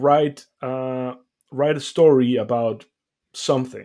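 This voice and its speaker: The speaker has a non-native accent. The intonation stays fairly even. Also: man. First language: not English. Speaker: podcast co-host. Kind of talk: casual chat. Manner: halting.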